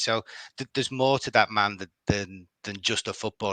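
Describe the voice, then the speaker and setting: In a Liverpool accent, a man speaks at a moderate pace with a bright, sharp tone and fairly even intonation, in a dry, close sound with no echo and a quiet background. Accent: Liverpool (Scouse). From Liverpool, England. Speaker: football fan. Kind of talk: podcast interview. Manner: halting, many repetitions.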